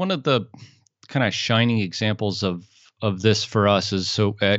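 The man has an unremarkable speaking voice, rather low in pitch and moderate in speed. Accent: American. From US. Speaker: podcast company founder. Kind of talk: casual interview chat.

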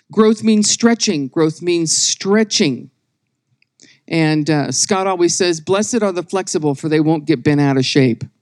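A woman with an ordinary speaking voice talks fairly slowly at a fairly low pitch. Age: 60s. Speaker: women's ministry speaker. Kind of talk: sermon. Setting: church meeting with live audience.

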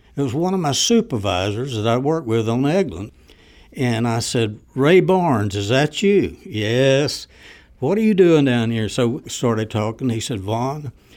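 A man at medium pitch with a Southern US accent, very wide pitch swings and a fairly slow pace, in a very clean recording with a silent background. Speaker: former civilian range worker. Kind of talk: interview.

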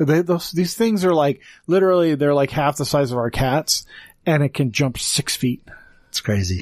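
A plain, everyday voice belongs to a man with a fairly high pitch, speaking at a moderate pace with very even loudness. The recording is very clean and dry, close with no echo and a silent background. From Wyoming (born in Texas). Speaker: podcast host. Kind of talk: casual chat.

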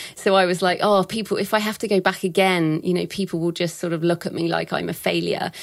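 A woman at a medium pitch speaks in a monotone, flat way with vocal fry and hardly any pauses. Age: 40s. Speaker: thriller writer and publishing expert. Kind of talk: interview.

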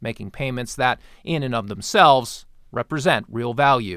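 A man speaks in an upbeat tone. The recording is very clean, with a silent background. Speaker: podcast host. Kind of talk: sales pitch; market wrap news reading. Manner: brisk, upbeat pitchman patter; polished, formal.

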